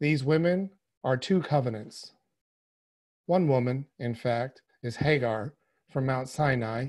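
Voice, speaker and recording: Against a quiet background, a man talks at a fairly slow pace with ordinary pitch variation and long, frequent pauses. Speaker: lay reader of epistle. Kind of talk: reading aloud scripture. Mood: calm, measured. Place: home room. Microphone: video call.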